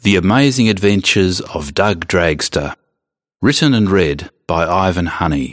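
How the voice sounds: A natural reading voice with lively intonation, against a quiet background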